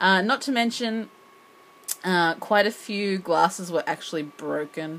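This is a woman speaking. Her pitch sits fairly low. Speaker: English teacher vlogger. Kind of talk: casual vlog chat. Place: home room. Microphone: phone near.

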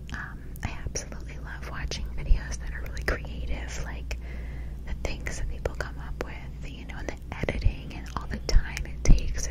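Whispering and soft-spoken, a woman talks at a moderate pace in a dry sound with no echo, with loud background noise behind her. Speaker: ASMR creator. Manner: close, soft ASMR whisper. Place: home room. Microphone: studio mic.

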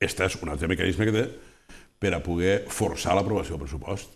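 Over a quiet background, a man with a very deep, low pitch and vocal fry talks at a fairly quick pace, with ordinary pitch variation. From Tortosa, Catalonia. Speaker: local politician. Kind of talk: press statement. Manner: halting. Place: studio. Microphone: lapel.

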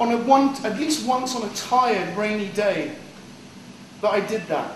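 An intense-toned man speaks at an extremely high pitch with ordinary pitch variation, amid light background noise and audible room echo. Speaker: poet. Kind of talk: poem performance; casual banter. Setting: live in a cafe, audience present. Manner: animated, self-deprecating, casual, with laughs; intense, rhythmic, rhyming delivery in poem. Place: cafe.

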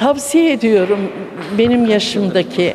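A woman's fairly high voice with lively intonation at a very slow pace, over light background noise. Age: 70s. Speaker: table tennis enthusiast. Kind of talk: news interview. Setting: sports hall. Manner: hesitant, many fillers. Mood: cheerful, enthusiastic. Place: gym. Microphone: handheld.

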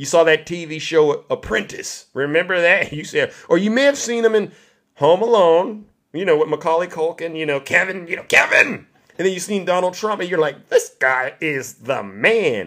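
Against a quiet background, a man talks in an animated tone with lively intonation. His pitch is high for a man. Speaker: live-stream host. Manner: boastful, punchy, showman. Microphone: studio mic.

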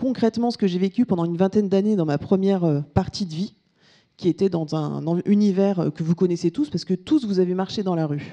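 The tone is dark and mellow, with ordinary pitch variation. Speech comes at a moderate pace over a quiet background. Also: woman. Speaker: business speaker, solution founder; keynote speaker. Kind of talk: conference keynote. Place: hall. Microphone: handheld.

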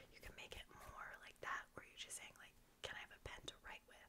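A woman is whispering. She has an American accent. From United States. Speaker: ASMR creator. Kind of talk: ASMR close-whisper tutorial. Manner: whispered, soft-spoken. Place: home room. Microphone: studio mic.

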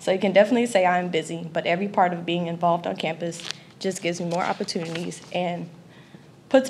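Over light background noise, a woman speaks very fast with fairly even intonation. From Louisiana, Lafayette. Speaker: college student. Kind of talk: prepared speech. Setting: stage with audience. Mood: grateful, earnest. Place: hall. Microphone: podium.

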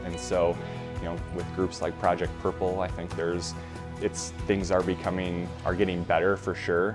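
Clear music plays in the background as a man speaks at a very deep, low pitch. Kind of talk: interview answer. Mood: earnest, reflective. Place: home room. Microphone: lapel.

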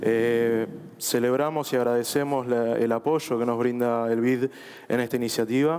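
A man speaks at a medium pitch and fairly slow pace, in a monotone, flat delivery with very even loudness. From Argentina. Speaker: government official; panelist. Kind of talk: panel discussion. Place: stage. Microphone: headset.

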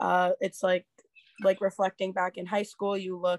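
A woman with an American accent speaks at a medium pitch. The sound is dry with no echo, and the background is quiet. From Philadelphia. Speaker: college rower; panelist. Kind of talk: panel discussion on video call. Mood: reflective, earnest. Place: home room. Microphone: video call.

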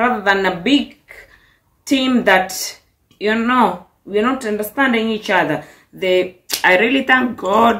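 Against a quiet background, a woman with a Kenyan accent speaks at a very slow pace in a fairly high pitch, with long, frequent pauses. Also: ordinary pitch variation. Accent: Kenyan English, noticeable. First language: Swahili. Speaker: vlogger. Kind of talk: vlog monologue, casual. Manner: animated, upbeat, chatty. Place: kitchen. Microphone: phone near.

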